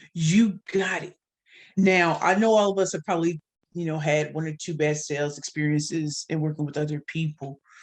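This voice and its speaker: Very deep and low in pitch, a woman speaks in an animated tone at a moderate pace. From US Midwest, St. Louis, Missouri. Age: 40s. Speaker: sales trainer and speaker. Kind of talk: podcast interview.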